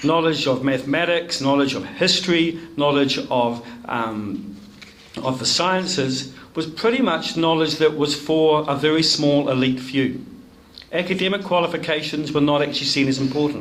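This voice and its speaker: In a New Zealand accent, a man speaks at a moderate pace with ordinary pitch variation. There is audible echo from the room. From New Zealand (rural Nelson). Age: 60s. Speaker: education academic. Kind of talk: speech to a club audience. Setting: room with audience.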